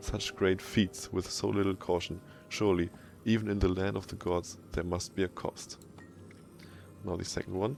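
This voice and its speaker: With a German accent, a man speaks at a moderate pace in a very deep, low pitch and monotone, flat intonation, with music in the background. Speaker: gaming video creator. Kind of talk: reading in-game lore texts aloud.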